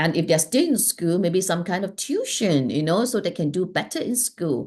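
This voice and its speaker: With an ordinary speaking voice, a woman talks at a fairly quick pace in a fairly low pitch and lively intonation over a quiet background. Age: 60s. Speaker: life strategist and healer. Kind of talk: interview conversation.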